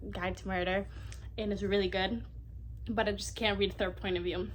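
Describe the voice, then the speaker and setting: A woman's voice with audible room echo. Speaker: book youtuber. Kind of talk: casual vlog monologue. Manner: fast; animated.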